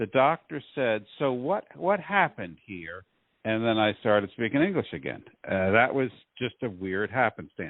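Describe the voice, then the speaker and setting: A man with an unremarkable speaking voice at medium pitch, moderate in pace and lively in intonation. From US, military family (childhood partly in Turkey). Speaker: physician. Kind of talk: casual chat.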